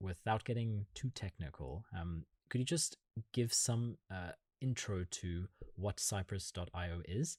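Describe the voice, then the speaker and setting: This man has a German accent and a very deep, low voice. His delivery is somewhat breathy. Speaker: podcast interviewer. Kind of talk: interview.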